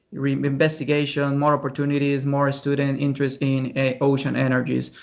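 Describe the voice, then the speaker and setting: A man speaks with a Spanish accent at a fairly high pitch. His intonation stays monotone and flat. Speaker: researcher presenter. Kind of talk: webinar Q&A. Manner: halting.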